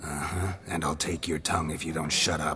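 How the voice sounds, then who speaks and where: A man uses a put-on character voice that is raspy and very deep, low in pitch, with a deadpan tone and monotone, flat intonation. He keeps a moderate pace over light background noise. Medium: video game. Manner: terse, deadpan.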